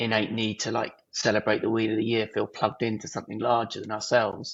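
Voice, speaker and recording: With an English accent, a man talks at a fairly quick pace. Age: 30s. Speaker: artist and filmmaker. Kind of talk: podcast interview.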